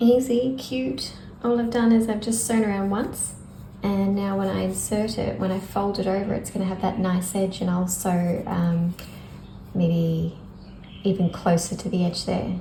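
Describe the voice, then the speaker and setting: A soft-spoken woman talks at a fairly slow pace. The room echo is audible. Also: medium pitch for a woman, ordinary pitch variation. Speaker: crafter. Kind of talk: tutorial.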